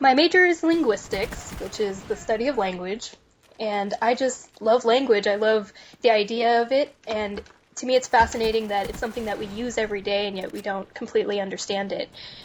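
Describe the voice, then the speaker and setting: A woman with a General American accent speaks fairly quickly in a normal speaking voice, at a fairly high pitch with ordinary pitch variation. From US West, Reno, Nevada. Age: 20s. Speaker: university student and gamer. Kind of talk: casual interview.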